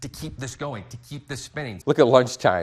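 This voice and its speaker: This man's voice has an upbeat tone. It comes across somewhat breathy. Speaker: broadcast meteorologist. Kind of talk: TV weather forecast. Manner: upbeat, conversational, explanatory.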